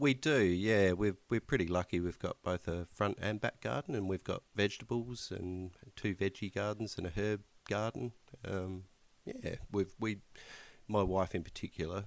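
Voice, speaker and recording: A man speaks with a strong Australian accent. His pitch is very deep and low. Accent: broad Australian. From rural Australia. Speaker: podcast co-host. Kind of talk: casual chat. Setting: Skype call.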